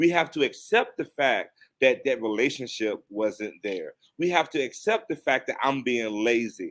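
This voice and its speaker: In a very clean recording with a silent background, a man speaks with a Virginia accent. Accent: Southern US (Virginia). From US South, Danville Virginia. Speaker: counselor. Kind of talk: podcast interview.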